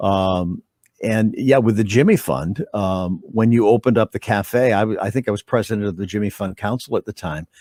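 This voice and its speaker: The recording is very clean, with a silent background and a dry, close sound with no echo. A man speaks at a fairly low pitch in a dark, mellow tone with ordinary pitch variation. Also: moderate pace. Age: 60s. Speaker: TV news anchor. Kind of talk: interview. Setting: webcast. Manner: halting.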